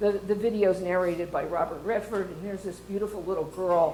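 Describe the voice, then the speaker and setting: Speaking at a fairly quick pace, a woman with a dark, mellow tone and medium pitch keeps her intonation fairly even, with audible room echo around her. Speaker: water resources professor and research center director. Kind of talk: conference talk. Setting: stage with audience. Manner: fast.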